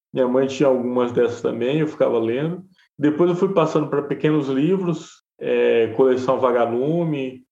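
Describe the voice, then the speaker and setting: A man with a plain, everyday voice at medium pitch, moderate pace, ordinary pitch variation and very even loudness. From Bahia interior, Brazil. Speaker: journalist and podcaster. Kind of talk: interview conversation.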